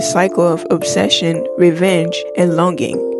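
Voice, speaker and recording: Moderate pace from a woman over background music. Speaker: music video essayist. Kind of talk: video essay narration.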